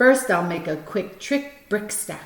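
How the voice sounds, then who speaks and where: A woman speaks at a fairly slow pace in a put-on character voice. Her pitch sits in the medium range. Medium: read story. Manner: bouncy, teasing.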